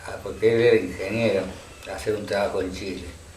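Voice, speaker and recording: With lively intonation, a man talks over noticeable background noise, and audible room echo can be heard. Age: 60s. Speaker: local elder and former town councillor. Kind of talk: oral history interview. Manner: halting, with repetitions and fillers.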